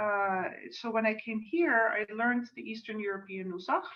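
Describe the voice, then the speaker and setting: A woman speaks with a Dutch accent. Her pace is moderate. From Netherlands, suburb of Amsterdam. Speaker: cantor. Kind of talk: religious service introduction. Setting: video call.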